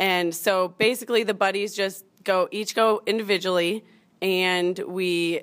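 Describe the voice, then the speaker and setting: This woman has an ordinary speaking voice at medium pitch, with fairly even intonation and a fairly slow pace. The recording is very clean and the background silent. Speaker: college softball player. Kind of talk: interview. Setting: stage with live studio audience.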